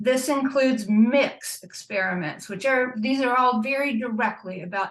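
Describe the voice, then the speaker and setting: A woman speaks at a moderate pace with a somewhat breathy voice. Her pitch rises and falls in an ordinary way. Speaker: panelist, nuclear weapons watchdog. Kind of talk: panel presentation. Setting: video call.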